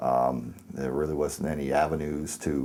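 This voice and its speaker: A man speaks with a very deep, low voice and vocal fry. His tone is dark and mellow. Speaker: shooting survivor. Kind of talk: interview answer. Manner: hesitant, reflective.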